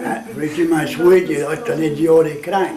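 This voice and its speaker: A man with a Cajun accent speaks in a fairly high voice, with audible room echo and noticeable background noise. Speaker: storyteller. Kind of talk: interview.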